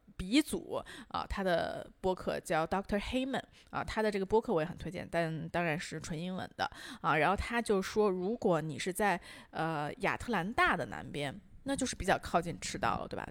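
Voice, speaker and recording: A woman at medium pitch with vocal fry, lively intonation and a moderate pace. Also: very clean recording, silent background. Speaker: podcast co-host. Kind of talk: casual chat.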